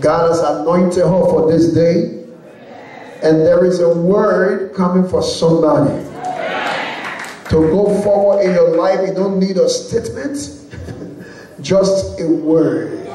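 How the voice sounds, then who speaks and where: In a room with audible echo and light background noise, a man with a high-pitched voice talks fairly slowly with fairly even intonation, very even loudness, and long, frequent pauses. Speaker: speaker. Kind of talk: sermon. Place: church.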